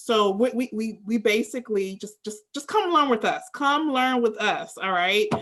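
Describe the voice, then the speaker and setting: With an American accent and a plain, everyday voice, a woman talks at a moderate pace and a fairly high pitch with lively intonation. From US, Maryland, Prince George's County. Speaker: language school host. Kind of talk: casual chat.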